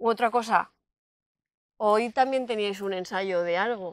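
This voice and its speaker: A woman speaks in a normal speaking voice with a fairly high pitch and fairly even intonation at a moderate pace. The sound is dry with no echo, and the background is quiet. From Valencia region, Spain. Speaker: local channel interviewer. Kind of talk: interview. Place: open country. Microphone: lapel.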